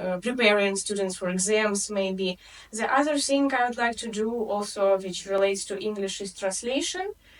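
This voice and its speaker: A woman talks at a moderate pace in a Russian accent, her pitch medium with ordinary variation. Noticeable background noise runs underneath. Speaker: English tutor. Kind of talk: interview.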